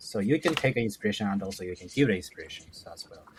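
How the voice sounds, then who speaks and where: With a Japanese accent, a man talks at a fairly quick pace and medium pitch. His intonation is lively, and there is noticeable background noise. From northern Japan. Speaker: author and education entrepreneur. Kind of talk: podcast interview. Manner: halting.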